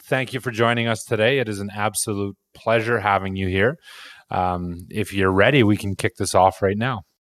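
A man talks at a moderate pace in a normal speaking voice, fairly low in pitch and fairly even in intonation. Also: dry, close sound with no echo. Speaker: AMA host. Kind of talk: hosting AMA. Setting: online audio space.

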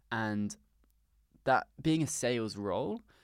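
The man has a southern English accent and medium pitch, heard on a very clean recording with a silent background. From south coast of England. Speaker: startup founder. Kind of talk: interview.

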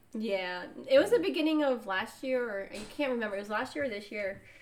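This is a normal speaking voice, moving at a fairly quick pace with lively intonation. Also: woman. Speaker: podcast co-host. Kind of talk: casual chat.

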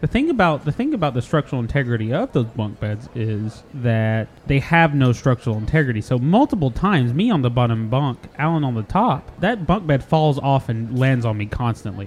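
Hardly pausing, a man talks at a medium pitch in an animated tone with lively intonation over noticeable background noise. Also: fairly quick pace. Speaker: podcast host. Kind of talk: casual comedic banter. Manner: animated, joking.

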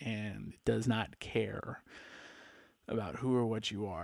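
In an American accent, a man speaks at a medium pitch with fairly even intonation. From Palm Springs, California. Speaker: podcaster. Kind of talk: casual monologue. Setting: home recording into computer mic. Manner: laid-back, filler-heavy.

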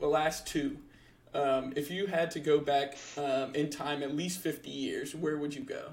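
A man with an American accent speaks in monotone, flat intonation at a fairly high pitch. His pace is moderate. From United States. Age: 20s. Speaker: podcast co-host. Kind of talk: casual chat.

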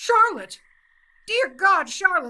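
A put-on character voice shouts at an extremely high pitch. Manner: screaming, angry.

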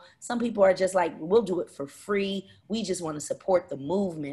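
A woman speaks in a Philadelphia accent at a fairly quick pace. Her pitch varies in an ordinary way. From West Philadelphia. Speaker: community organizer and entrepreneur. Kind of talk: interview.

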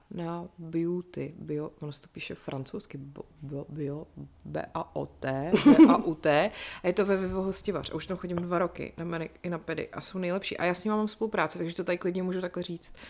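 A woman with a normal speaking voice talks at a fairly quick pace and a fairly low pitch, her intonation fairly even and her loudness swinging widely. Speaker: podcast co-host. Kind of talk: casual chat.

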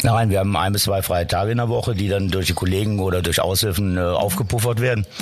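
With music in the background, a man speaks at a very fast pace with hardly any pauses. His fairly low voice keeps fairly even intonation and very even loudness. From western Germany, Cologne area. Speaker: lifeguard and pool supervisor. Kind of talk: interview.

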